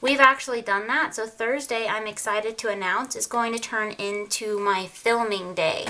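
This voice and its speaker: A woman with a normal speaking voice talks at a moderate pace and a fairly high pitch. Her intonation is fairly even, and she takes hardly any pauses. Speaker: lifestyle vlogger. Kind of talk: casual tutorial.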